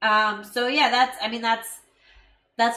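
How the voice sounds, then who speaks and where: Her voice is fairly high and bright, with a sharp edge. The woman speaks at a fairly slow pace with fairly even intonation. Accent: American. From USA. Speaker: live stream co-host, filmmaker. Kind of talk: casual chat. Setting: live stream.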